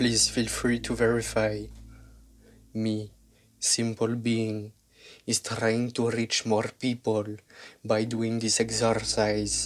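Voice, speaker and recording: A man with a French accent speaks at a very slow pace, leaving long, frequent pauses. His intonation is monotone and flat. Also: medium pitch for a man. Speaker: YouTube narrator. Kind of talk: scripted narration.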